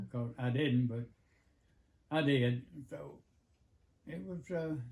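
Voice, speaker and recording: A somewhat breathy voice in an American accent, at a very slow pace with ordinary pitch variation. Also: man, medium pitch for a man. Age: 80s+. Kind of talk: interview answer. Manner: hesitant, halting, many fillers.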